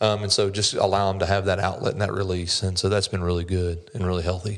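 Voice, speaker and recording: Very fast and monotone, a man with a Southern US accent talks in a very deep, low voice. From US South, North Carolina. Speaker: commercial loan officer, former police officer. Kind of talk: podcast interview.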